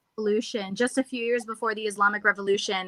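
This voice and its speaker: A woman's bright, sharp tone with an American accent, in a dry, close sound with no echo. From Ohio, US Midwest. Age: 20s. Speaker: stand-up comedian. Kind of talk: interview.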